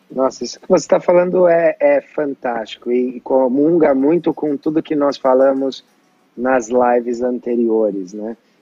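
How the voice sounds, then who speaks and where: A man with an ordinary speaking voice talks at a fairly slow pace. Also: medium pitch for a man, ordinary pitch variation. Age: 30s. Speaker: personal development coach and show host. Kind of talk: interview conversation.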